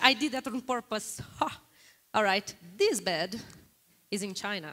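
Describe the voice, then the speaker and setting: Speaking fairly slowly with long, frequent pauses, a woman with a Brazilian accent sounds animated, her tone bright and sharp. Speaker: guest lecturer on global data. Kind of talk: interactive lecture with audience polling.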